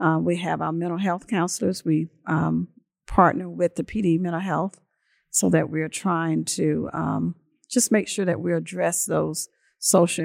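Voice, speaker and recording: A woman speaks with a South Carolina accent at a fairly slow pace. The recording is very clean, with a silent background and a dry, close sound with no echo. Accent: Southern US (South Carolina). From US South, Lake City, South Carolina. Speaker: school superintendent. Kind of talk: interview. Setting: on site at education center.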